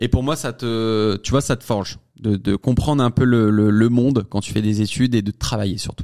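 His tone is dark and mellow, at a medium pitch. The man's intonation remains fairly even. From France, Savoie. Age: 20s. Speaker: comedy content creator. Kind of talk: interview. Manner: fast, hesitant with fillers.

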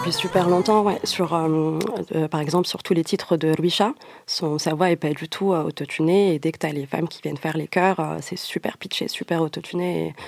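Here a woman is speaking at a moderate pace. Her intonation is fairly even. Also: fairly low pitch for a woman. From Morocco. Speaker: DJ. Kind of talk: interview. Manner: hesitant, many repetitions.

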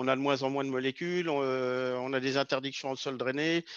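The sound is dry and close, without any echo. A man talks at medium pitch, his intonation fairly even. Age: 50s. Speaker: agricultural sales technician. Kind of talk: podcast interview. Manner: hesitant, with frequent fillers.

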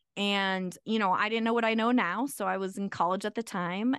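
A woman with a General American accent talks in a plain, everyday voice at a fairly quick pace. Her medium pitch varies in an ordinary way, with a dry, close sound, no echo and a quiet background. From Arizona. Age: 40s. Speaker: attorney. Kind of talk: interview.

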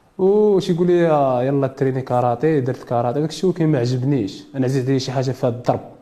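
Talking at a very fast pace, a man keeps a medium pitch, very even loudness and ordinary pitch variation. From Morocco, Casablanca. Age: 20s. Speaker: boxer. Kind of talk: interview.

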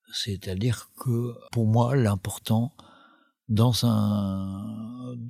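Very slowly, a man speaks at medium pitch in a somewhat breathy voice, with a dry, close sound and no echo. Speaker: documentary filmmaker. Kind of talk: interview. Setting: recorded at a film school in Paris. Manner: halting, many fillers and repetitions.

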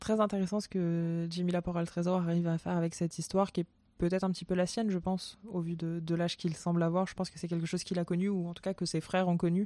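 The voice rushes along at a very fast pace, dark and mellow in tone, with monotone, flat intonation. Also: woman. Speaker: culture podcast host. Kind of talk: solo recommendations monologue. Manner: halting with repetitions.

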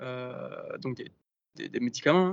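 Fairly even in intonation, the talking proceeds at a fairly slow pace. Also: man. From Provence, Var. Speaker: startup founder. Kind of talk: interview. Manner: halting, many fillers. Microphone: phone, connection problem.

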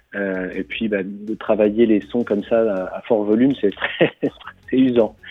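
Music plays in the background as a man speaks at a very slow pace. His fairly low voice keeps a fairly even intonation. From Normandy, France. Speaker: singer-songwriter. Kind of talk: radio interview. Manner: hesitant, many fillers.

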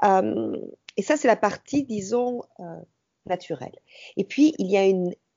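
A woman with a southern French accent, medium pitch, very wide pitch swings and a fairly slow pace. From southern France, Ariège. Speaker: entrepreneur, women's empowerment trainer. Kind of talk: interview conversation. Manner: hesitant, many fillers.

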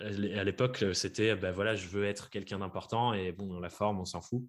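Recorded very cleanly against a silent background, a man speaks at a moderate pace with fairly even intonation. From France, Dordogne. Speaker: podcaster and freelance coach. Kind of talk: interview. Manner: hesitant, many fillers.

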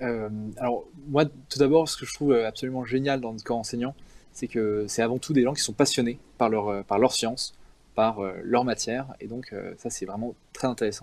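With fairly even intonation, this man talks at a moderate pace and a medium pitch. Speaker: engineering student. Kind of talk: interview. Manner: hesitant, many fillers.

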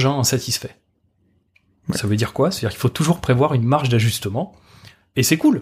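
A man speaks at a medium pitch with ordinary pitch variation and a somewhat breathy voice. The recording is very clean, with a silent background. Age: 40s. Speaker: energy design consultant and trainer. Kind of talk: casual interview. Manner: hesitant, many fillers and restarts.

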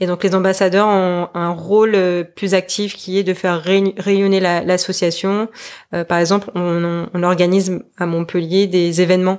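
A woman's medium-pitched, monotone, flat delivery at a fairly slow pace, on a very clean recording with a silent background. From French Polynesia (Tahiti). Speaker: wealth management advisor. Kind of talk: interview. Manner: halting.

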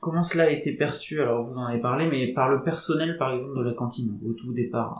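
With a plain, everyday voice, a man speaks at medium pitch and a fairly quick pace, with hardly any pauses and fairly even intonation. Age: 30s. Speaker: podcast host. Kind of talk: interview.

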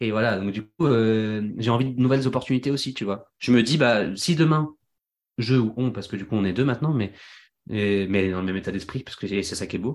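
On a very clean recording with a silent background, a man talks at a fairly quick pace with medium pitch and ordinary pitch variation. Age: 20s. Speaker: singer and engineer. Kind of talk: casual chat. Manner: animated.

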